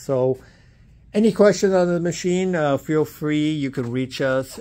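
The man's speech comes at a moderate pace. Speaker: equipment salesperson. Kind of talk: pitchman sales pitch, walk-around product demo. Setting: showroom, filming the machine while walking around. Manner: enthusiastic, pushy urgency. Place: shop. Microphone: phone near.

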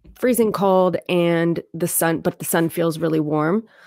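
In a normal speaking voice, a woman with an American accent speaks fairly slowly at a fairly low pitch with fairly even intonation, in a dry sound with no echo and a quiet background. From Lancaster County, Pennsylvania; Pennsylvania. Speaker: therapist, clinical social worker; guest. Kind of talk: interview. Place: home room. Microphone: studio mic.

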